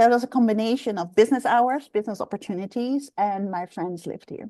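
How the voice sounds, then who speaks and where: A woman with a slight Dutch accent talks at a fairly quick pace with ordinary pitch variation, recorded dry and close with no echo against a quiet background. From Netherlands. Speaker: executive coach. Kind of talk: interview.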